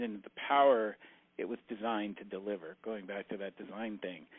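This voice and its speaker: A man in an ordinary speaking voice at medium pitch, moderate in pace, with ordinary pitch variation. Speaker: farmer and tractor maintenance instructor. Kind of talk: casual interview. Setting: phone call. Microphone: clear phone audio.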